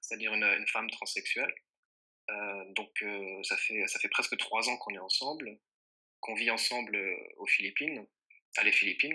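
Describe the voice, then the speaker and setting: Long, frequent pauses from a man speaking at a moderate pace. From France. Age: 20s. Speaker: internet entrepreneur, dating site founder. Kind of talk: interview. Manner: hesitant, many fillers.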